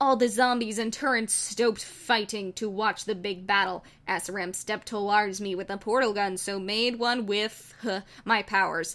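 A woman talks at a moderate pace, her medium-pitched voice showing ordinary pitch variation. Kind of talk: comedic dramatic reading of bad fan fiction. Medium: read story.

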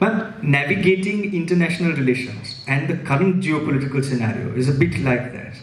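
Audible room echo surrounds a man who talks at a fairly quick pace with a fairly high pitch and hardly any pauses. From India, Mumbai. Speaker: interviewer. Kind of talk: onstage interview. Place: stage. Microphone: handheld.

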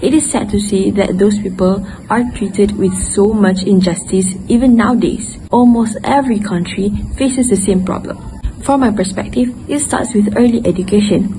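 A woman speaks at a moderate pace with ordinary pitch variation. Music plays in the background. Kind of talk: book report presentation. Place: garden. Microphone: earbuds.

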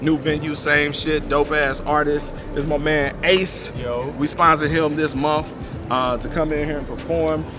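A man speaks with monotone, flat intonation while clear music plays in the background. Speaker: magazine publisher interviewer. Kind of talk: casual interview hosting. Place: open country.

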